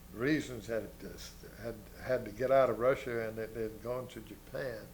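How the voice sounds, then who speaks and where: A man talks at a fairly slow pace. There is audible room echo. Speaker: war veteran. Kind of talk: interview. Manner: halting.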